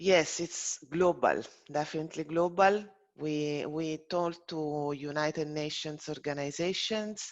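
A fairly slow pace in an Italian accent. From Italy. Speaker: farmers organisation representative. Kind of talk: webinar moderation.

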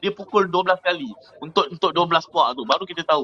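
Light background noise accompanies a man's raised, projected voice. He speaks fairly quickly at a high pitch with ordinary variation. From Malaysia, Kuantan Pahang; Malaysia. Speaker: merchant navy officer; guest. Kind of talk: casual chat. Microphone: video call.

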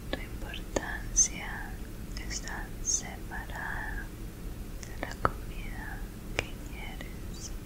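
A woman whispers at a very slow pace. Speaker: ASMR creator. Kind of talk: ASMR positive affirmations. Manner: whispered; soft, affectionate. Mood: gentle, comforting. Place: home room. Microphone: studio mic.

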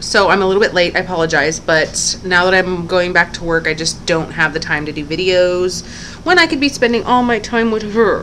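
At a moderate pace, a woman speaks with ordinary pitch variation against light background noise. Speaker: parent vlogger. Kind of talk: casual vlog chat. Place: home room. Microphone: webcam.

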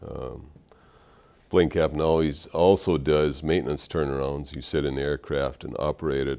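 A man with an Upper Midwest accent speaks at a moderate pace in a very deep, low voice with vocal fry. His intonation is fairly even, and the background is quiet. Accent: Upper Midwest American. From Minnesota. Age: 50s. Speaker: war veteran. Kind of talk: interview testimony. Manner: halting. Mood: calm, reflective. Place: studio. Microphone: lapel.

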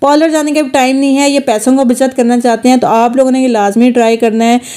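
A woman speaks in a high voice at a moderate pace with fairly even intonation. The background is quiet. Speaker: home beauty tips creator. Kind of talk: tutorial. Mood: persuasive, encouraging.

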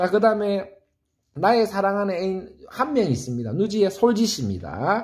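A man's high voice in an animated tone with lively intonation, over a quiet background. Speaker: saxophone teacher. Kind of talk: tutorial. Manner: fast. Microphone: phone near.

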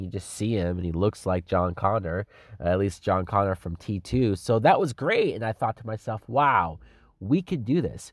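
Against a quiet background, a man talks at a moderate pace in an animated tone with ordinary pitch variation, the sound dry and close with no echo. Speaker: movie reviewer. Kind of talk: angry rant. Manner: animated, indignant.

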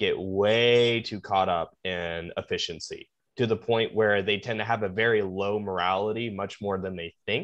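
Against a quiet background, a man with an ordinary speaking voice and a fairly low pitch talks at a moderate pace with fairly even intonation. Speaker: podcast guest. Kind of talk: interview answer. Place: home room. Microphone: video call.

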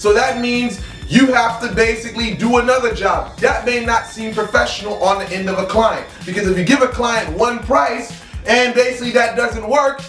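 An extremely high-pitched man speaks with fairly even intonation in a room with audible echo, with faint music in the background. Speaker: spiritual practitioner vlogger. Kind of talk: casual vlog chat.

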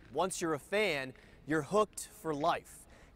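A man's voice, dry with no echo. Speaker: TV sports show host. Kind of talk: presenter introduction to camera. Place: stadium. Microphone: lapel.

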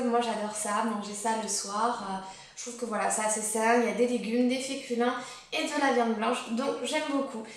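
A woman's high-pitched voice at a moderate pace, with audible room echo. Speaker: lifestyle vlogger. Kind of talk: casual vlog chat. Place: home room. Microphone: camera far.

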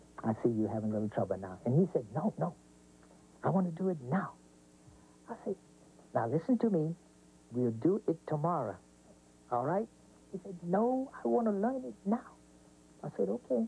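The speaker keeps a moderate pace but leaves long, frequent pauses. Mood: warm, amused storytelling. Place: studio.

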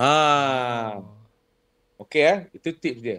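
Speaking very slowly, a man uses ordinary pitch variation over a quiet background. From Johor, Malaysia. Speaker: singer and vocal coach; vocal coach guest. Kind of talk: casual interview chat. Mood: relaxed, storytelling. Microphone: video call.

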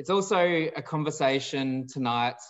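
A man talks with an Australian accent. His pace is fairly slow. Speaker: nonprofit director and webinar moderator. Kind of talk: moderated panel discussion. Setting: video call. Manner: formal.

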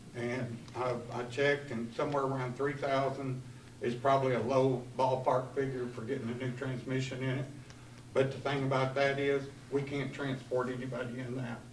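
With a Southern US accent, a man speaks in a monotone, flat way amid light background noise and audible room echo. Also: moderate pace. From US South. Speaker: county department head. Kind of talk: report to county board. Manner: plain-spoken, not a practiced speaker. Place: meeting room. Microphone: camera far.

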